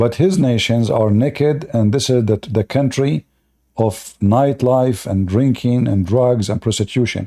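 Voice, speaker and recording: A man with an Arabic accent at a medium pitch and a fairly slow pace, dark and mellow in tone, with ordinary pitch variation and very even loudness, in a very clean recording with a silent background. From Middle East. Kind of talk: live stream commentary.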